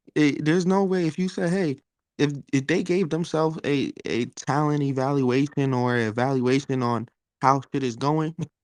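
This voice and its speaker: A man with a New York accent, fairly high in pitch, at a moderate pace with ordinary pitch variation. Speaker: sports talk panelist. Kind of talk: casual chat.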